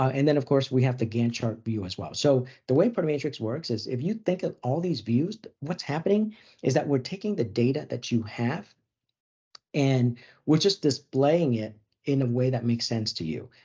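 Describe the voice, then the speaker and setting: The voice is somewhat breathy, with lively intonation. The background is quiet. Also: man. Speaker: software webinar presenter; webinar presenter. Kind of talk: product demo webinar. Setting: online webinar. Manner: fast. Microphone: video call.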